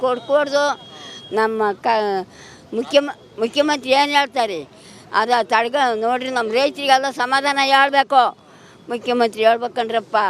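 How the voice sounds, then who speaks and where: High-pitched female voice with fairly even intonation. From Tiptur taluk, Karnataka. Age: 80s+. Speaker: farmer protester. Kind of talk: interview answer at a protest. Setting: outdoors. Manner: defiant, emotional.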